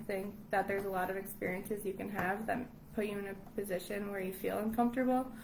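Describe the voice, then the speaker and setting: With noticeable background noise and audible room echo, a woman with an American accent talks at a fairly quick pace with fairly even intonation. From Long Island, New York. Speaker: English teacher abroad. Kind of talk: casual interview chat. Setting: live stream.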